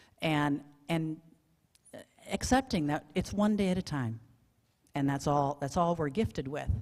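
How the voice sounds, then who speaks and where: On a very clean recording with a silent background, a woman speaks at a very deep, low pitch. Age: 60s. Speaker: panel moderator. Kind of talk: panel discussion wrap-up.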